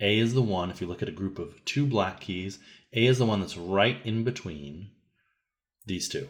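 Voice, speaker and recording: At a moderate pace, a man with a fairly low pitch speaks with ordinary pitch variation. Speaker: music teacher. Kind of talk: tutorial.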